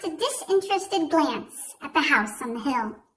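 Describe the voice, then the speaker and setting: At a moderate pace, the speaker uses a raised, projected voice with a bright, sharp tone. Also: woman. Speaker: narrator. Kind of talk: audiobook read-aloud.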